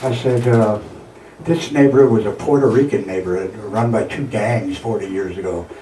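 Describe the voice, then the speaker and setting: A man speaks at a moderate pace with ordinary pitch variation, amid noticeable background noise and audible room echo. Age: 60s. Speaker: artist and coffee house host facing eviction. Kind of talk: casual interview. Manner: halting.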